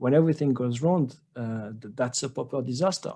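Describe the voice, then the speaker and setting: A man with a French accent, medium pitch and a dark, mellow tone, at a fairly slow pace with lively intonation. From France. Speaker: trading educator. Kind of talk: webinar presentation. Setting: online webinar. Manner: halting with many fillers and repetitions.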